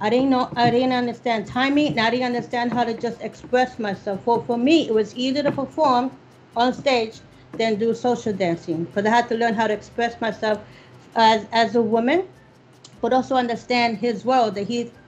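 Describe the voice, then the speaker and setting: An ordinary speaking voice from a woman with an American accent, fairly high-pitched, with ordinary pitch variation and a moderate pace. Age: 60s. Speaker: salsa dancer. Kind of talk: interview.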